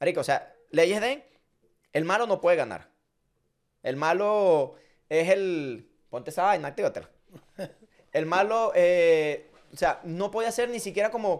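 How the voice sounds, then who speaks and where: Pausing long and often, a man speaks in a high pitch with lively intonation. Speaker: podcast host. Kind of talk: casual chat. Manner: fast; animated.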